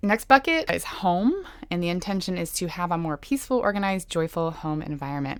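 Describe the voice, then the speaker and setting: Quiet and at a moderate pace, a woman speaks at a fairly low pitch on a very clean recording with a silent background. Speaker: podcast co-host. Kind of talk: casual chat between sisters.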